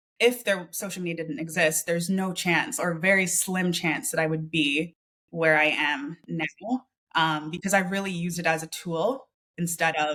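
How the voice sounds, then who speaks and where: A woman's bright, sharp voice, fairly low in pitch, with ordinary pitch variation, a Canadian accent and a moderate pace. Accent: Canadian, non-UK. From Canada, small town. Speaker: freelancer and business coach. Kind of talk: interview. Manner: casual, with fillers.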